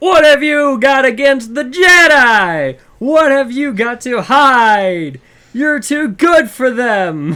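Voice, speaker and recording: A put-on character voice, high in pitch, moves at a very slow pace. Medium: read story. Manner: mocking, breaking into laughter.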